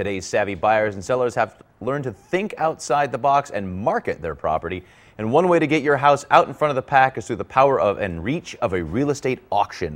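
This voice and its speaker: Talking at a fairly quick pace with hardly any pauses, a man swings his pitch very widely and shows vocal fry. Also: medium pitch for a man. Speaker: talk show host. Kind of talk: TV host segment intro and interview.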